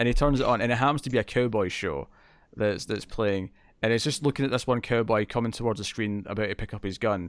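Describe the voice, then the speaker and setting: With a Scottish accent, a man of medium pitch talks at a very fast pace with ordinary pitch variation on a very clean recording with a silent background. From Scotland. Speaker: podcast host. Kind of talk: casual chat reviewing a TV episode.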